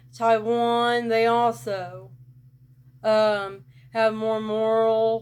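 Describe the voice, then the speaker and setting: Monotone, flat intonation in a rural Southern US accent. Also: woman. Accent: rural Southern US, country. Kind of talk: casual talk to camera.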